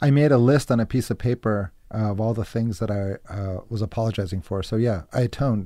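In a plain, everyday voice with an American accent, the speaker talks with hardly any pauses and ordinary pitch variation. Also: man, medium pitch for a man. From Massachusetts. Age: 30s. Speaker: actor and filmmaker. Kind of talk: casual chat.

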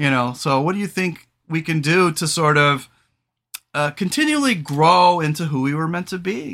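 Loud and lively in intonation, a man talks at a moderate pace with a fairly high pitch, vocal fry and a bright, sharp tone.

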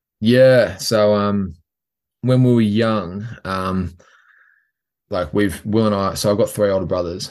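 Australian-accented speech at a fairly slow pace, with fairly even intonation and long, frequent pauses, over a quiet background. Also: man, fairly low pitch for a man. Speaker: professional rugby player. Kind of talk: interview. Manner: hesitant, many fillers.

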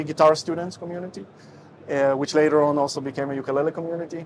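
A man's very fast, fairly high-pitched speech with fairly even intonation amid noticeable background noise. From Russia and Israel. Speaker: ukulele teacher and musician. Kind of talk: casual interview chat.

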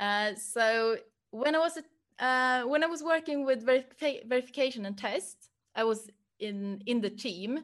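A woman with a Swedish accent and ordinary pitch variation. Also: moderate pace. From Sweden, Stockholm. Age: 30s. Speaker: project manager. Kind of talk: career talk. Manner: hesitant, many fillers.

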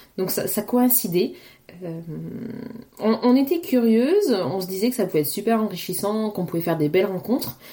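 Noticeable background noise sits under a voice moving at a moderate pace. The pitch swings very widely, with long pauses coming often. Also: woman, medium pitch for a woman. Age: 30s. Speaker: podcast host, mother. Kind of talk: casual solo monologue. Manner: hesitant, many repetitions.

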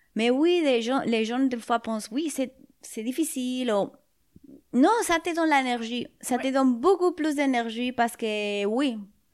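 A woman talks in a high voice with a Spanish accent. Her pitch varies in an ordinary way. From Spain (Madrid). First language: Spanish (speaking French). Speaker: musician. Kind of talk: interview. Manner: halting; calm.

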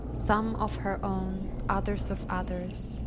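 Against noticeable background noise, a woman speaks at a very slow pace. Her tone is solemn, yet her intonation is lively. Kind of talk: mythic guided narration, scripted vision-quest meditation read aloud. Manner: slow, hushed, dreamlike and incantatory with long pauses; soft, solemn and intimate, addressing 'you'.

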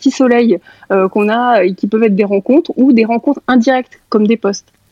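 Ordinary pitch variation runs through a plain, everyday voice delivered at a fairly quick pace. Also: woman, very even loudness. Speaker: guest speaker. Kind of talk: group discussion.

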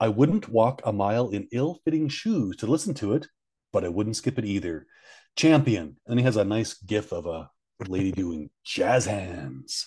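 A man with a Canadian accent, fairly low in pitch and somewhat breathy, at a moderate pace with very wide pitch swings. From Canada. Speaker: podcast co-host. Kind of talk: casual chat. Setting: hotel room.

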